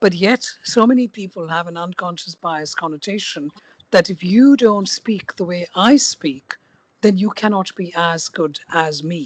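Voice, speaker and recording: A woman with an Indian accent at a medium pitch, with big swings in loudness. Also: ordinary pitch variation, fairly slow pace, dry, close sound with no echo. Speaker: podcast host. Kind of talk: interview.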